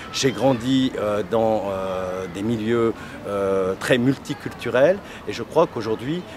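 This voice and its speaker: Over noticeable background noise, a man at medium pitch talks at a fairly slow pace with ordinary pitch variation. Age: 50s. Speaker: political candidate. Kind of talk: interview. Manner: halting, frequent hesitations.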